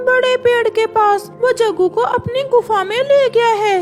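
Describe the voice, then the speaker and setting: With clear music in the background, a cartoonish character voice with an extremely high pitch speaks at a moderate pace. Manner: urgent.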